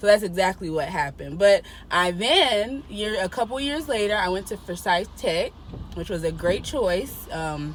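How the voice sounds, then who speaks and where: A woman talks at a moderate pace in a medium pitch, her tone animated and her intonation lively. Noticeable background noise sits behind her voice. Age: 20s. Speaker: podcast guest, host's sister. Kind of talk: casual chat.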